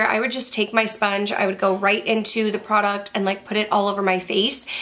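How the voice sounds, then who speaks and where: A woman is speaking. She goes at a fairly quick pace. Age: 30s. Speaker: beauty youtuber. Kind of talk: product review. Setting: bedroom. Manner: casual, chatty. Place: home room.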